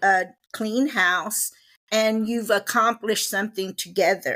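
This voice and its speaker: A woman with a Texan accent, fairly high pitch, fairly even intonation and a fairly slow pace, on a very clean recording with a silent background. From Texas, Waco. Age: 60s. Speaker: guest, host's mother. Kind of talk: casual chat.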